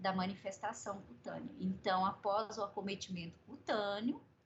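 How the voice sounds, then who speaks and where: Somewhat breathy, a woman's voice moves at a fairly slow pace. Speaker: medical professor. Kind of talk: lecture.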